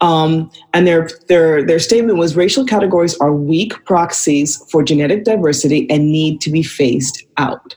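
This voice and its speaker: In an ordinary speaking voice, a woman talks at a moderate pace with very even loudness. Her pitch is fairly low, with ordinary variation. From Vancouver, Canada. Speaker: filmmaker and radio host. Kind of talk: casual chat.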